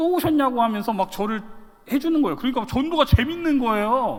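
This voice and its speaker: Lively intonation in a man's extremely high pitch. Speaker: pastor. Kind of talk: sermon. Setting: church. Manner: fast; animated.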